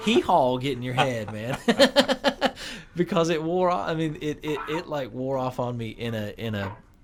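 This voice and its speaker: A man speaks with a North Carolina accent. His intonation is lively. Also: medium pitch for a man, moderate pace. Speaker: guitarist and producer. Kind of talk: radio interview. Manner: halting, many repetitions.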